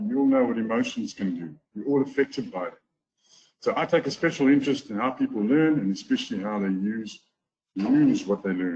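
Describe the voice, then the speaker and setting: A man with a South African accent talks at a fairly quick pace. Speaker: golf teacher and trading course affiliate. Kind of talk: webinar testimonial talk.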